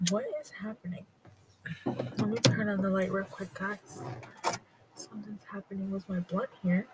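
Against noticeable background noise, a woman with a medium-pitched voice talks at a moderate pace, her intonation fairly even, her loudness swinging widely, and her speech broken by long, frequent pauses. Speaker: podcast host. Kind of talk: casual solo monologue. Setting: in a car. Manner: relaxed, many fillers.

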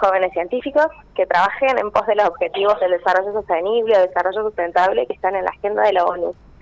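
There is noticeable background noise as a woman speaks at a medium pitch with ordinary pitch variation. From Argentina, Córdoba province (Villa del Rosario). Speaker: chemical engineer and doctoral researcher. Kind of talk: radio interview.

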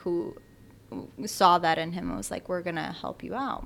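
A woman's pitch swings very widely as she talks. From Albania, raised in Bridgeport, Connecticut. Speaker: writer, former lobbyist. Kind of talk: interview conversation.

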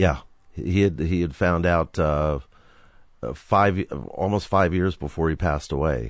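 A man with a very deep, low voice and vocal fry speaks at a fairly slow pace, taking long, frequent pauses. His pitch varies in an ordinary way, his loudness stays very even, and the background is quiet. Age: 60s. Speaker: rock photographer. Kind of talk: casual interview, storytelling. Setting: in garage studio.

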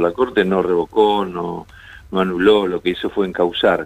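A man speaks at a moderate pace in a very deep, low voice, his intonation fairly even. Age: 60s. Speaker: judge. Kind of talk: radio interview.

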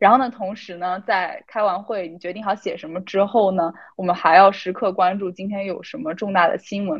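A woman's normal speaking voice at a fairly quick pace, with hardly any pauses, ordinary pitch variation and big swings in loudness. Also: medium pitch for a woman. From China. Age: 20s. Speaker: student intern journalist. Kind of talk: casual chat.

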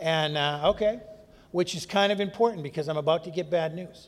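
Here is a man with an Upper Midwest accent. He speaks at a fairly quick pace. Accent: Upper Midwest American. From North Dakota. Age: 50s. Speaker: AA conference speaker. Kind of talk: recovery testimony talk. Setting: stage with audience at a podium.

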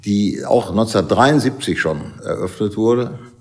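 At a very slow pace, a man speaks at medium pitch. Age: 70s. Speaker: pub owner. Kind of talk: interview. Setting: closed pub.

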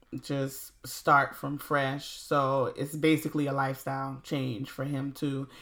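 This woman's voice sits very deep and low. She speaks well down in her range. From US South, South Carolina Low Country. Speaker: podcast host. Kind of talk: casual interview.

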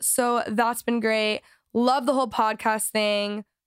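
The recording is very clean with a silent background, catching a woman's fairly high voice in a dry, close sound with no echo. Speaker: podcast host. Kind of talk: casual chat. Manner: casual, chatty.

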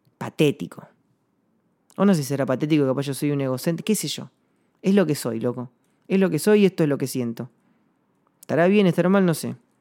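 A man with an Argentine accent talks at a fairly quick pace, with lively intonation and a fairly high pitch. His tone is dark and mellow, and he leaves long, frequent pauses. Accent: Rioplatense Argentine Spanish. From Argentina, Patagonia (Chubut). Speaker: singer-songwriter podcaster. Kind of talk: reflective monologue. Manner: halting, repeats words.

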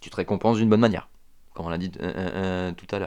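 In a very clean recording with a silent background, a man is talking. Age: 30s. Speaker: podcast host, fitness coach. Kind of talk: solo motivational monologue. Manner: hesitant, many fillers.

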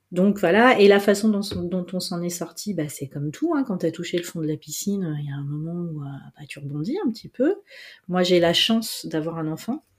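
Somewhat breathy speech at a moderate pace with big swings in loudness, on a very clean recording with a silent background. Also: woman, fairly low pitch for a woman, ordinary pitch variation. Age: 40s. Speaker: journalist and entrepreneur. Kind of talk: interview.

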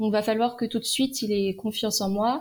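Fairly high and somewhat breathy, a woman's voice holds fairly even intonation in a very clean recording with a silent background. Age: 20s. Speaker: endoscopy nurse. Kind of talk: interview.

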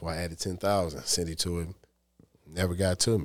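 A man's very deep, low voice at a fairly quick pace, on a very clean recording with a silent background. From Detroit, Michigan (East Side). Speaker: cleaning and staffing business owner. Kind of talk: casual interview chat.

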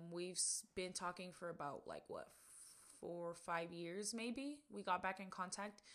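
Fairly slow speech from a woman, medium in pitch, with ordinary pitch variation. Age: 20s. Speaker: podcast host. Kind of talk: casual chat. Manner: animated.

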